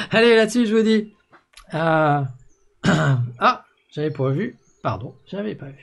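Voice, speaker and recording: Lively intonation marks this man's voice. He speaks at a fairly slow pace. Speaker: network marketing coach. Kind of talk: live video show.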